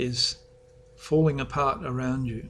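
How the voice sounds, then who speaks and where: A man talks at medium pitch with an Australian accent. His delivery is monotone and flat. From Western Australia. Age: 60s. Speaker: author. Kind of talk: author's talk about his book.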